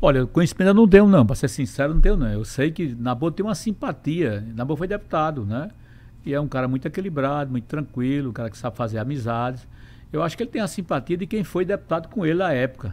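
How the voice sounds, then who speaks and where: Very fast delivery with very wide pitch swings. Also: man, fairly high pitch for a man. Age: 60s. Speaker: state legislature president, politician. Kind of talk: interview.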